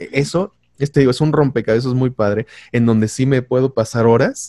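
The man has a plain, everyday voice. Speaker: voice-over artist. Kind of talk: casual chat.

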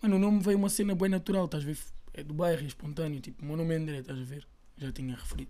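A man speaks at a very fast pace in a fairly high, dark, mellow voice. His pitch shows ordinary variation. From Portugal, Lisbon (Chelas). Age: 20s. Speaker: rapper. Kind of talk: casual chat.

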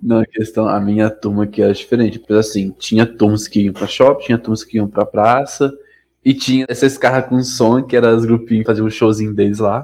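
A medium-pitched man delivers his words in a monotone, flat intonation. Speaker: educator. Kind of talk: casual chat. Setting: live stream.

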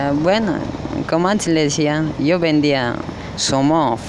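At a moderate pace and with ordinary pitch variation, a man speaks amid noticeable background noise and audible room echo. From Cochabamba, Bolivia. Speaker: street vendor. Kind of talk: street interview. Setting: outdoors, city plaza.

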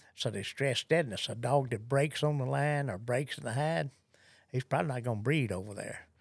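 Fairly quick man with a Southern US accent, medium-pitched with ordinary pitch variation, in a very clean recording with a silent background. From US South. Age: 70s. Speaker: gun dog trainer. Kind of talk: interview.

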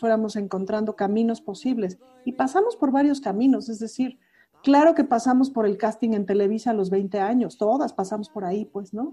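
In a normal speaking voice, a woman with a fairly high pitch talks at a fairly quick pace with ordinary pitch variation. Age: 40s. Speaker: cabaret performer. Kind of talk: casual interview chat.

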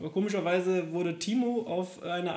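High-pitched male speech with normal variation in pitch. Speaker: podcast co-host. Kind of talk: casual chat. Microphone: laptop recording.

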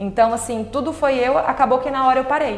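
Music plays in the background and the room echo is audible. The speech moves at a moderate pace. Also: woman. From Brazil, Tocantins (Palmas). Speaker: entrepreneur. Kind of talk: casual interview.

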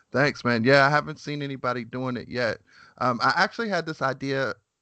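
Bright and sharp in tone, a man speaks at a moderate pace against a quiet background, the sound dry and close with no echo. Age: 30s. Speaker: podcast host. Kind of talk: casual interview chat.

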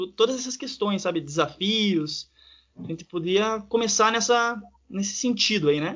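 A man's high-pitched voice moves fairly slowly, its pitch varying in an ordinary way. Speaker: podcast co-host. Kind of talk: interview.

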